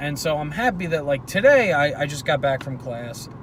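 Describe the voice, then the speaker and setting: Audible room echo surrounds a man whose voice sits fairly high. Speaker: vlogger. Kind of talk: casual monologue. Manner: stuttering, hesitant.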